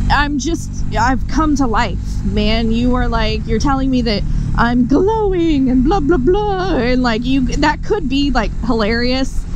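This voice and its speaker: A woman speaks at a fairly slow pace with lively intonation, her voice dry with no echo over noticeable background noise. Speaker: motorcycle vlogger. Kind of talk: casual vlog chat. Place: motorbike. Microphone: helmet.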